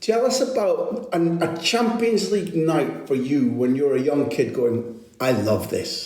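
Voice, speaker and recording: Against noticeable background noise and audible room echo, a man in a Scottish accent speaks at a fairly slow pace with lively intonation. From Scotland, Aberdeen. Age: 50s. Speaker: football journalist and podcast host. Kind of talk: interview.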